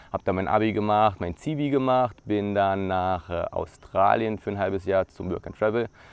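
An unremarkable speaking voice from a man, at a moderate pace with ordinary pitch variation. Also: fairly low pitch for a man. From Brandenburg, eastern Germany. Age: 30s. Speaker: YouTuber, former air traffic controller. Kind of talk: vlog self-introduction. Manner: casual with frequent filler words.

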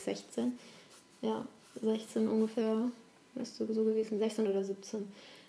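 A woman's fairly high, monotone, flat voice over noticeable background noise. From Italy, then Germany from age eight. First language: Italian (speaking German). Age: young. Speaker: relationship coach. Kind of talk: interview, life story. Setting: at home on the couch.

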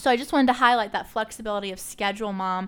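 Heard on a very clean recording with a silent background, a woman has an unremarkable speaking voice, fairly high in pitch, with ordinary pitch variation. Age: 30s. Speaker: podcast host. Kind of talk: casual interview.

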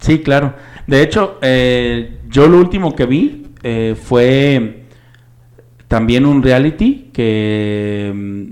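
The voice carries lively intonation at a very slow pace. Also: man, medium pitch for a man. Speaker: podcast co-host. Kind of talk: casual chat.

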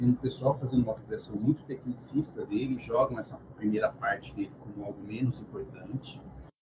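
A man speaks at a moderate pace in a medium pitch, his tone dark and mellow and somewhat breathy. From Brazil, interior of São Paulo (Bauru). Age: 40s. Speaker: psychologist. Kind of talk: casual interview chat. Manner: hesitant, many fillers.

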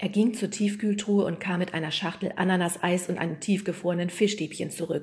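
Plain reading aloud comes through with fairly even intonation.

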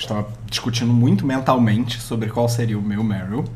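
A man speaks over noticeable background noise. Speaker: advertising professional. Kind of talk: casual chat.

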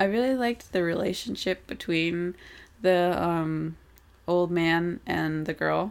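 A woman speaks at a fairly slow pace in an unremarkable speaking voice, her pitch fairly low with ordinary variation. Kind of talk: casual movie review chat.

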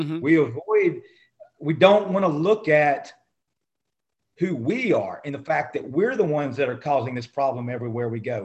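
This man's voice is fairly high-pitched and somewhat breathy, with very wide pitch swings and an animated tone. He speaks at a moderate pace with long, frequent pauses. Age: 50s. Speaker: small business owner. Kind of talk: casual interview.

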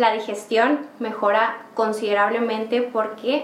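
Fairly slow and fairly high in pitch, a woman's voice comes with audible room echo and noticeable background noise. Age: 20s. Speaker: medical intern and yoga teacher. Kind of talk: interview.

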